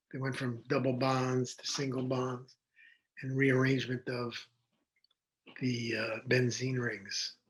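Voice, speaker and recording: A man with an American accent speaks very slowly in a medium, somewhat breathy voice, with long, frequent pauses. His intonation is monotone and flat. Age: 70s. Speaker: physician. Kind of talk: interview.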